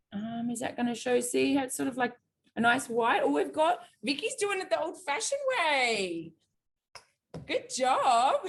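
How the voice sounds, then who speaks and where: With an Australian accent, a woman speaks with long, frequent pauses. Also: moderate pace. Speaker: cooking teacher. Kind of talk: cooking class. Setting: video call.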